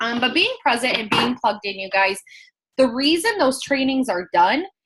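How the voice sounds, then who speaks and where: A woman's raised, projected voice, high and bright with a sharp tone, sweeping through very wide pitch swings against a quiet background. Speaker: network marketing team leader. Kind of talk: team training video call. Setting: video call. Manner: fast; animated.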